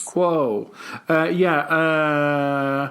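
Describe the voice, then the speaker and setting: A man with a British accent. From England. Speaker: English teacher. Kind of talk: casual podcast chat.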